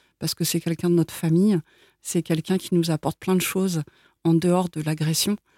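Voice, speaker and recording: A woman talks at a fairly quick pace in a dark, mellow tone with monotone, flat intonation. The sound is dry and close, with no echo. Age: 40s. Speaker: president of an association supporting incest survivors. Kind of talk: interview testimony. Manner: hesitant, many fillers.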